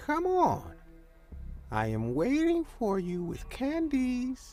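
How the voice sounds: Clear music plays behind a high-pitched, put-on character voice that moves at a very slow pace.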